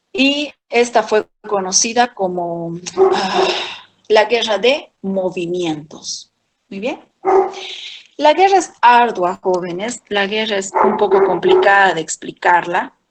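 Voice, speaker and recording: A woman speaks at a medium pitch and a very slow pace, with ordinary pitch variation. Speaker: history teacher. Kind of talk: lecture.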